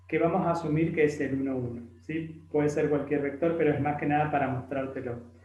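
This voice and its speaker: A somewhat breathy voice with fairly even intonation, heard with audible room echo. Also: man. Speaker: math tutor. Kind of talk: tutorial.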